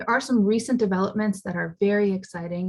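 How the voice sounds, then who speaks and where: A woman speaks at a very fast pace in a medium pitch, her voice somewhat breathy. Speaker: psychiatrist giving a talk. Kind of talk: lecture.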